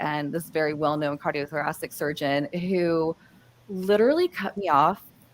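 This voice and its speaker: A woman with an American accent speaks at a moderate pace in a fairly low pitch, with ordinary pitch variation. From US Midwest. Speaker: panelist on workplace communication. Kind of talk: live panel discussion. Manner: halting, many fillers and restarts.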